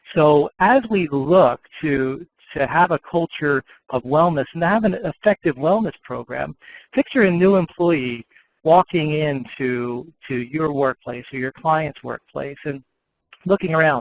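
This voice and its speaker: In a dry, close recording with no echo, a man speaks at a fairly high pitch and fairly slow pace with ordinary pitch variation. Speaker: sales executive presenting a webinar. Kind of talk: webinar presentation. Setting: online webinar. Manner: deliberately slowed down.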